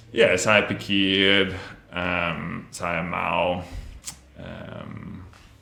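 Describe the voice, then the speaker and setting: Over noticeable background noise and audible room echo, a man with a very deep, low voice speaks at a very slow pace with long, frequent pauses. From Australia (Melbourne). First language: English (speaking Indonesian). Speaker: language student. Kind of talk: interview. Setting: podcast studio. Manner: halting, many fillers.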